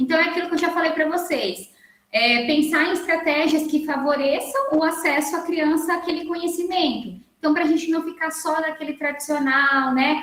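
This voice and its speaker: At a moderate pace, a woman speaks with an extremely high pitch and fairly even intonation. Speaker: workshop lecturer on learning disorders. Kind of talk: online lecture.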